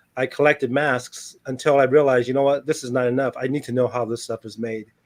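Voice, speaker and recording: Against a quiet background, a man with an American accent talks at a very fast pace in a monotone, flat intonation. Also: medium pitch for a man. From Taiwan, then US from age nine. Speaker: movie creature designer. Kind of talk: interview.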